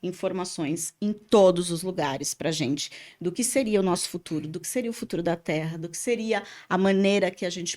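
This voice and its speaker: On a very clean recording with a silent background, a woman with an animated tone speaks at a moderate pace and medium pitch, with ordinary pitch variation. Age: 50s. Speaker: podcast host and spiritual therapist. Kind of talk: casual podcast chat. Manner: talkative, animated.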